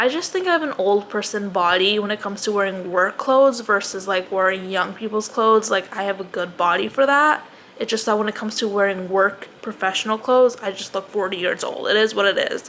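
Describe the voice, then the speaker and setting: A fairly quick pace with hardly any pauses, ordinary pitch variation and noticeable background noise. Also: woman, medium pitch for a woman. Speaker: lifestyle vlogger. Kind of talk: casual vlog monologue. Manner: halting, stumbles over words.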